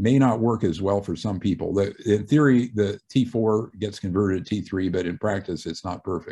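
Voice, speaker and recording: Against a quiet background, a man with a fairly low pitch and a dark, mellow tone talks at a moderate pace with hardly any pauses. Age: 60s. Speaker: retired physician and author. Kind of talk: radio interview.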